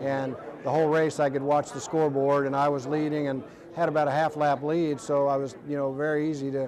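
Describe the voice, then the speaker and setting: Flat, monotone intonation in an American accent comes through alongside audible room echo and noticeable background noise. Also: man, fairly high pitch for a man, fairly quick pace. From Ohio, Dayton. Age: 60s. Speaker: retired race car driver. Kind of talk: interview.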